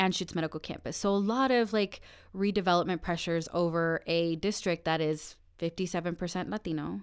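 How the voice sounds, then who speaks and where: In a normal speaking voice, a woman with a fairly low pitch talks at a moderate pace with ordinary pitch variation, on a very clean recording with a silent background. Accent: American. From Colorado, Denver area. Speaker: city council member. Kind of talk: casual chat. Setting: studio.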